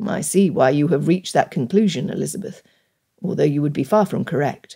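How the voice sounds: A woman puts on a character voice, low-pitched and dark and mellow in tone, with vocal fry and a slightly husky edge. She moves at a fairly quick pace with ordinary pitch variation.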